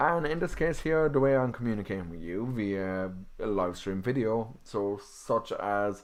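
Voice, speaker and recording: Fairly low-pitched male voice with an Irish accent at a moderate pace. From Ireland. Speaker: podcast host and canine psychology student. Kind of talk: live stream talk on dog behaviour. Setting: live stream video. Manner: casual, with fillers.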